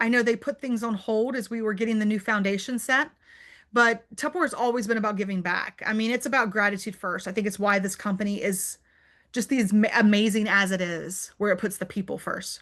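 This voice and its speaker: A woman's fairly high voice at a fairly quick pace, with ordinary pitch variation, against a quiet background. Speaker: direct sales entrepreneur and speaker. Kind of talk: Q&A on a virtual club meeting. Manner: fast; animated.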